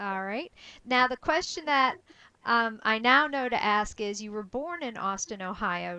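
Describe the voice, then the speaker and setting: With a bright, sharp tone and lively intonation, a woman at a fairly high pitch speaks at a fairly slow pace. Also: quiet background. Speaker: interviewer. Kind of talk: interview questions.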